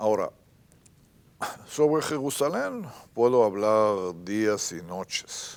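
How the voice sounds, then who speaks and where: A man with an Israeli accent speaks very slowly at a fairly low pitch, with long, frequent pauses. The recording is very clean and the background silent. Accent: Israeli Hebrew accent in Spanish. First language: Hebrew (speaking Spanish). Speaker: writer. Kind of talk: interview. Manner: halting.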